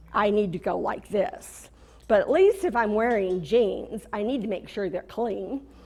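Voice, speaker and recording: An ordinary speaking voice with an American accent carries lively intonation. The pace is fairly slow. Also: woman. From California. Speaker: corporate trainer. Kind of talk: motivational talk.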